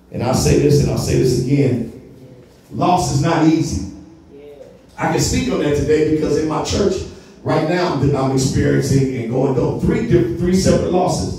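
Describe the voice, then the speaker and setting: Strong room echo surrounds a man speaking. He keeps a moderate pace with ordinary pitch variation. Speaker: pastor. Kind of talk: sermon. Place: church.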